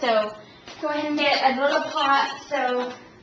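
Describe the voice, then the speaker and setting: Raising and projecting her high-pitched voice, a woman is heard with audible room echo and noticeable background noise. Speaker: home cooking video host. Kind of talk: cooking tutorial. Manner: casual, many fillers.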